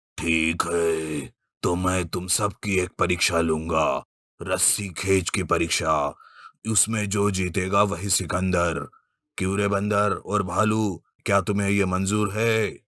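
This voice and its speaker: On a very clean recording with a silent background, a man in a cartoonish character voice speaks at a very deep, low pitch and a fairly slow pace. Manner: authoritative.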